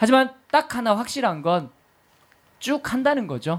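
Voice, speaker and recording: A man's animated voice at a moderate pace, with very wide pitch swings. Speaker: podcast DJ and actor. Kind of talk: hosting a live public recording with play reading. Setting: stage with live audience.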